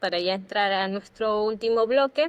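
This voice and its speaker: A woman with a plain, everyday voice speaks at a moderate pace. Her pitch is medium, with ordinary pitch variation. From Ecuador. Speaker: podcast co-host. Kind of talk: casual chat.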